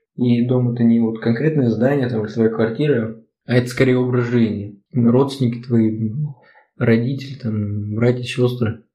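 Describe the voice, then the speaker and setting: Audible room echo surrounds a man's medium-pitched, somewhat breathy voice, which moves at a moderate pace with monotone, flat intonation. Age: 20s. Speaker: podcast co-host. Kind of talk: casual chat.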